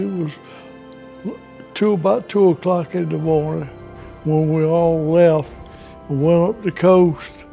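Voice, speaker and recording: Music plays in the background as a man speaks with a South Carolina accent. His pitch is high, with ordinary variation. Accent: Southern American (South Carolina). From South Carolina, USA. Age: 80s+. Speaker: war veteran. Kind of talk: interview answer.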